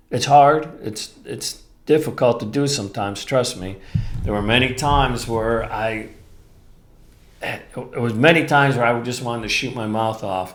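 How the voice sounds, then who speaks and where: A man's medium-pitched voice carries through audible room echo. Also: ordinary pitch variation, moderate pace. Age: 60s. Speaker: podcast host. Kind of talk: solo podcast talk.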